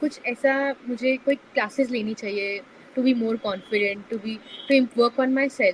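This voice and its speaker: Noticeable background noise beneath a woman's voice, its pitch variation ordinary. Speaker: community founder. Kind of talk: podcast interview. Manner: soft-spoken; hesitant, many fillers.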